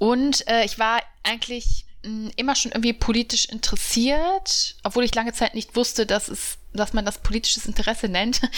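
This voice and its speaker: Speaking at a moderate pace with hardly any pauses, a woman with a fairly high pitch has a plain, everyday voice and ordinary pitch variation. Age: 30s. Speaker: journalist and podcast co-host. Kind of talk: casual chat.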